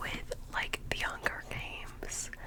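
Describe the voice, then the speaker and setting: A whisper, with background noise clearly audible. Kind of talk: ASMR video, casual talk to camera. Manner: whispered.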